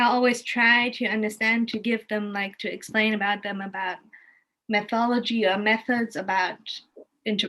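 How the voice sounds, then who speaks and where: In a German accent, a woman with a fairly high pitch and a bright, sharp tone speaks at a moderate pace in a flat monotone. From Germany, Kassel. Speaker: arts and cultural professional, art educator. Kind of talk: casual chat, storytelling on video call. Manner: halting, many restarts.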